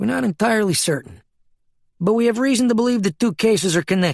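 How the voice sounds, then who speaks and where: Using a put-on character voice, a man speaks very fast in a high pitch with lively intonation, in a dry, close sound with no echo. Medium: read story. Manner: calm, probing.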